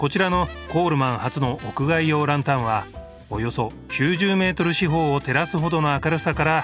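Over music in the background, a man with a fairly high pitch speaks at a moderate pace with lively intonation. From Tokyo, Japan. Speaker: TV narrator, actor. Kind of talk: TV documentary narration.

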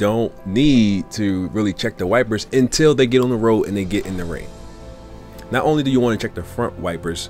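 A man speaks at a fairly low pitch and a moderate pace. Faint music plays in the background. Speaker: car sales tips vlogger. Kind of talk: casual tips talk to camera.

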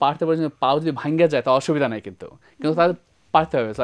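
A man's voice rises fairly high in pitch, with fairly even intonation. Behind him the background is quiet. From Bangladesh, moved to the USA at age nine. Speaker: IT entrepreneur; talk show guest. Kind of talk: TV interview. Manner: halting, many fillers. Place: studio.

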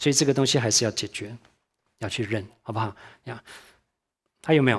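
Ordinary pitch variation against a quiet background. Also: man. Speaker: church teacher. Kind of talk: sermon-style Bible teaching. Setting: church class. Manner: fast talker. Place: stage.

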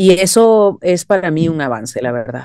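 A woman in a dry sound with no echo, over a quiet background. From Venezuela (Caracas). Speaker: singer-songwriter and voice actress; voice actress. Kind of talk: interview. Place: home room. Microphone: video call.

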